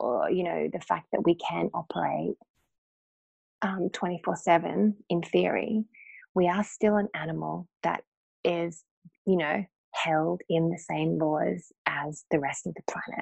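In an Australian accent, a woman talks at a very slow pace, the sound dry and close with no echo. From North Queensland, Australia. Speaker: acupuncturist and life coach. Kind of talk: casual interview chat.

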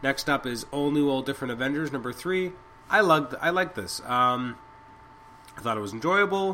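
Delivered at a fairly quick pace, the speech has lively intonation over noticeable background noise. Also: man, fairly high pitch for a man. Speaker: podcast host, comic book reviewer. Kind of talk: solo review podcast. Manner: fast; halting, many fillers.

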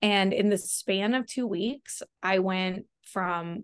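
The voice has fairly even intonation, and the sound is dry and close with no echo. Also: woman. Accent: American. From Texas, Austin. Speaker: real estate investor. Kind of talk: interview.

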